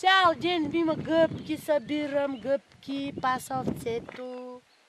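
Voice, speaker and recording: Noticeable background noise sits behind this recording. A woman speaks very slowly at a high pitch. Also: ordinary pitch variation. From Breznik region, Bulgaria. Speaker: singer and songwriter. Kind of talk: casual conversation. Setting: outdoors. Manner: lively, expressive storytelling.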